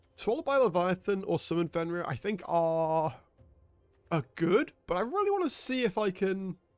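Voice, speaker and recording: A man with a British accent speaks at a moderate pace in a high pitch, his intonation lively, with music in the background. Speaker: gaming streamer. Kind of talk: gameplay commentary.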